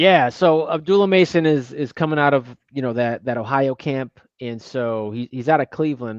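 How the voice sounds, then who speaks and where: A man in a normal speaking voice talks at a moderate pace with ordinary pitch variation and hardly any pauses, the sound dry and close with no echo. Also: medium pitch for a man. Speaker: boxing analyst. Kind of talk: live boxing watch-along commentary.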